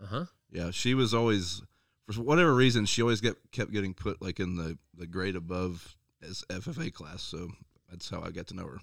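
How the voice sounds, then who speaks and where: In a normal speaking voice, a man speaks at a moderate pace and a fairly low pitch with lively intonation, on a very clean recording with a silent background. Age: 30s. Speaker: dirt late model racer and farmer. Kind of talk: casual chat.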